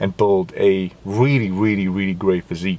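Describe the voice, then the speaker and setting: Fairly low in pitch, this man's voice has a dark, mellow tone. He speaks with no other marked features. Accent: non-native. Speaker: fitness vlogger. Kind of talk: casual vlog monologue. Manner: halting, searching for words.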